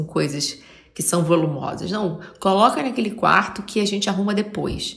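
A woman with a Rio de Janeiro accent speaks at a moderate pace. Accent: carioca. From Rio de Janeiro, Brazil. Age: 40s. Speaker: podcaster, artist. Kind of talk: reflective monologue. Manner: halting.

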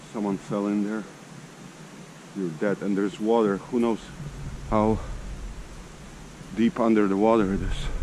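A man's fairly low voice at a moderate pace, monotone and flat, with long, frequent pauses and light background noise. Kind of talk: casual vlog chat. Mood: curious, amazed. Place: forest. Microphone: phone near.

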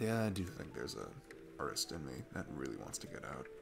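Man in a put-on character voice, extremely low pitch, vocal fry, big pitch swings, fairly quick pace, clear background noise

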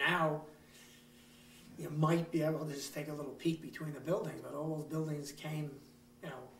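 The speaker has an American accent and a monotone, flat intonation, with long, frequent pauses. Loudness swings widely over noticeable background noise. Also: man, fairly high pitch for a man, moderate pace. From Long Island, New York. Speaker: retired market owner. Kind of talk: interview answer.

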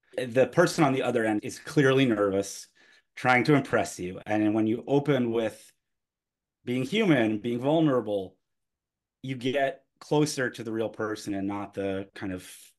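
At a moderate pace, the man talks with ordinary pitch variation while the background stays quiet. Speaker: podcast host. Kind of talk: conversational podcast discussion. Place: home room.

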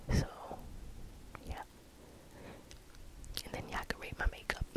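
Whispering, a woman speaks in a calm tone. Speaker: ASMR creator. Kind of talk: ASMR whisper ramble. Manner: whispered; soft-spoken, calm. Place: home room. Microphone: studio mic.

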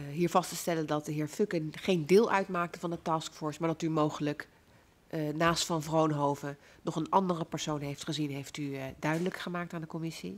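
Fairly quick in pace, a woman talks with fairly even intonation. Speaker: parliamentary committee chair. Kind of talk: formal hearing. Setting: parliamentary hearing room. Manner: formal. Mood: formal, measured. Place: hall. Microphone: podium.

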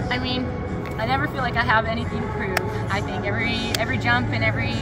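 A woman talks very fast over loud background music. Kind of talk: interview answer. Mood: happy, relieved, grateful. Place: hall.

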